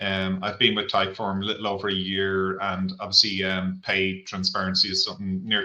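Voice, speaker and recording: The man's voice sits at a fairly low pitch with a bright, sharp tone. He talks at a fairly quick pace. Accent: Irish. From Ireland. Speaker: head of total rewards. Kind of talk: webinar panel discussion.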